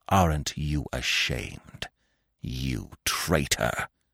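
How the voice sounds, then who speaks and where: A man's put-on character voice, very deep and low, growling and strained, at a very slow pace. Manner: restrained, embittered, growling.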